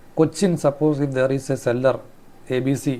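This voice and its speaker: At a fairly quick pace, a man with a Keralan accent talks in a medium pitch. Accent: Indian English, Malayali. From Kerala, India. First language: Malayalam. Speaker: trade and shipping instructor. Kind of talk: tutorial. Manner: halting, self-correcting.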